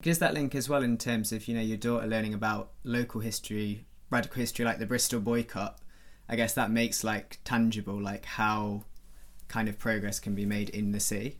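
A man with an ordinary speaking voice, fairly low in pitch, at a fairly quick pace with fairly even intonation. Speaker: podcast co-host. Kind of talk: interview.

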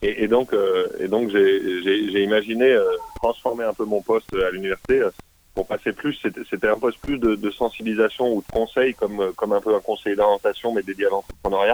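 A man speaks in a fairly low voice. His intonation is flat and monotone. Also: moderate pace. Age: 30s. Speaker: business incubator founder and mentor. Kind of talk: interview. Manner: halting.

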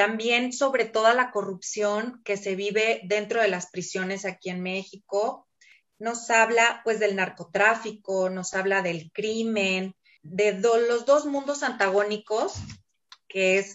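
Very slow speech from a woman, with pitch varying in an ordinary way. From Mexico City. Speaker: educator and book reader. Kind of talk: casual interview. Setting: video call.

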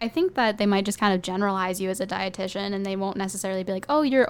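In an American accent, a woman speaks at a medium pitch. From Minnesota. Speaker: student. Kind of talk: casual chat.

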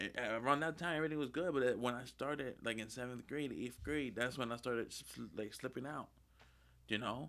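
With an American accent, a man talks fairly quickly in an ordinary speaking voice, at medium pitch with ordinary pitch variation. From Lancaster, US. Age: 20s. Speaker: pastor. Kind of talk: testimony.

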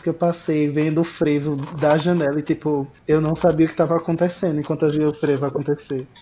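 A fairly quick, monotone, flat delivery from a man, fairly high in pitch, with a dark, mellow tone and very even loudness. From Brazil, Pernambuco. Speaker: podcaster and biologist. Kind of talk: casual chat.

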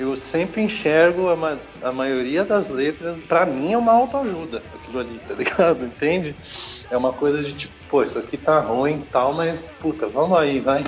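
Moderate-paced speech from a man with a fairly high pitch, noticeable background noise underneath. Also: ordinary pitch variation. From Porto Alegre, southern Brazil, then São Paulo from 15. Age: 40s. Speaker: punk/hardcore musician. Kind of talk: casual interview.

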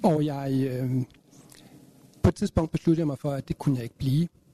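A man's fairly high, somewhat breathy voice with a dark, mellow tone, ordinary pitch variation and moderate pace, in a dry, close sound with no echo. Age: 50s. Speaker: counselling manager, panelist. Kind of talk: panel debate. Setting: live event with audience.

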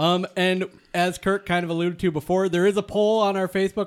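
The voice carries an American accent. Its pace is moderate. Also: man, very clean recording, silent background. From Michigan, US. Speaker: podcast co-host and producer. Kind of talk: casual chat. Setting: studio.

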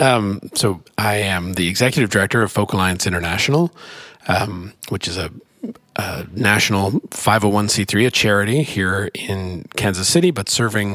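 A man with an American accent, fairly low-pitched with a bright, sharp tone, ordinary pitch variation and a moderate pace. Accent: Canadian, noticeable to Midwesterners. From Canada. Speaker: executive director of a folk music organization, musician. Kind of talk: interview conversation. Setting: conference room with street noise.

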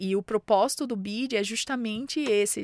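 A woman's medium-pitched voice with a northeastern Brazilian accent and ordinary pitch variation, on a very clean recording with a silent background. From Brazilian Northeast, Mossoró, Rio Grande do Norte. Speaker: startup founder and CEO. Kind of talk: interview.

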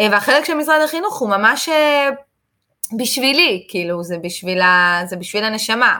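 Her voice is bright and sharp, fairly high, with very wide pitch swings. The woman keeps a moderate pace but takes long, frequent pauses. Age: 30s. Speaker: English teacher and entrepreneur. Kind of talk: casual interview. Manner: animated.

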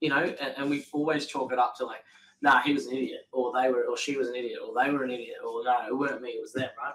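With an Australian accent, a man is talking. His pace is very fast. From Australia, New South Wales then Queensland. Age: 30s. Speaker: painting business owner, podcast co-host. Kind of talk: casual chat.

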